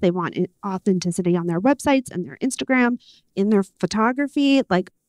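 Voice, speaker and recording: A woman talks in a plain, everyday voice with ordinary pitch variation. The sound is dry and close with no echo, over a quiet background. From New York, Puerto Rican heritage. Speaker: panel moderator. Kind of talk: panel discussion.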